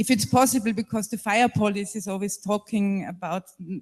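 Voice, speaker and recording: Moderate pace with a German accent. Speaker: panelist. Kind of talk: panel discussion. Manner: halting.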